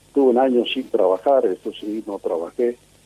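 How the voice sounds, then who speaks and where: At a moderate pace, a man talks while noticeable background noise carries on behind him. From Italy, raised in Argentina. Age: 80s+. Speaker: war veteran, radio amateur. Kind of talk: interview testimony.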